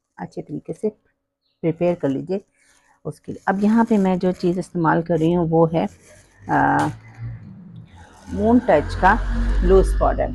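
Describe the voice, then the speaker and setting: A woman with a fairly low pitch speaks at a fairly slow pace in a dark, mellow tone, with ordinary pitch variation and a dry, close sound with no echo. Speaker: makeup tutorial creator. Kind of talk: tutorial. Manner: casual, hesitant with fillers.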